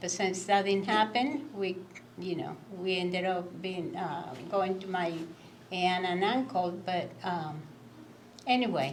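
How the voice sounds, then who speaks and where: A woman with a Cuban accent speaks at a fairly slow pace with long, frequent pauses. There is noticeable background noise and audible room echo. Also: medium pitch for a woman, ordinary pitch variation. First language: Spanish. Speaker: immigrant guest speaker. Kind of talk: candid conversation.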